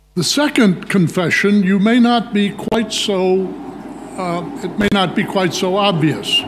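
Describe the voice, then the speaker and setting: A high-pitched man at a fairly slow pace, with audible room echo and noticeable background noise. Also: ordinary pitch variation. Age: 80s+. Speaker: nephrology professor. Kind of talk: lecture. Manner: authoritative.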